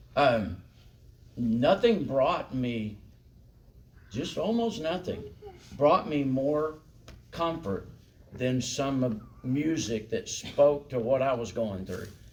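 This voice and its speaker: The speaker has a Southern US accent and lively intonation, talking at a very slow pace. Long, frequent pauses break up the speech, and the room echo is audible. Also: man, medium pitch for a man. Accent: US South. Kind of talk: lecture. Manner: animated.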